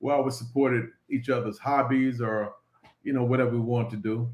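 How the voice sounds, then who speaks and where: A man with an unremarkable speaking voice, medium in pitch, speaks at a fairly quick pace with fairly even intonation. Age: 60s. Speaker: business owner. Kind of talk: interview.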